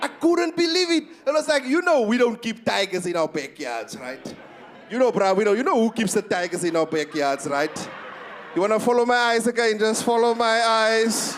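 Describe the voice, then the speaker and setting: Noticeable background noise sits behind a voice that moves at a moderate pace with very wide pitch swings. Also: man, high pitch for a man. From South Africa, Eastern Cape. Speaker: stand-up comedian. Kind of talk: stand-up. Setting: stage with audience. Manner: animated.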